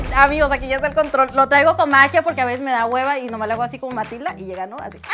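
There is music playing behind the voice. The speaker is a woman. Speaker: vlogger. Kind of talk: casual vlog chat. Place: home room.

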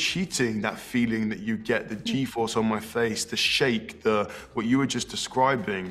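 Faint music sits in the background as a man speaks with ordinary pitch variation. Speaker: actor interviewee. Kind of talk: interview answer. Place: hall.

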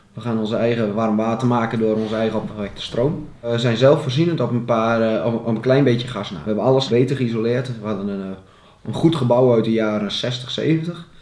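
The voice moves at a moderate pace with ordinary pitch variation, and room echo can be heard. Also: man, medium pitch for a man. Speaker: farmer and football club board member. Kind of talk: interview. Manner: hesitant with fillers.

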